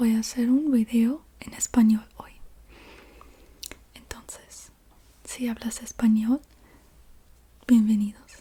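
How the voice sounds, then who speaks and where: A woman speaks in a soft, fairly high voice with a non-native accent, her intonation flat and monotone. Her pace is very slow, with long, frequent pauses and big swings in loudness. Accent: non-native Spanish speaker, noticeable. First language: English (speaking Spanish). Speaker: ASMR youtuber. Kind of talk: ASMR object show-and-tell. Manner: soft-spoken; halting, self-correcting.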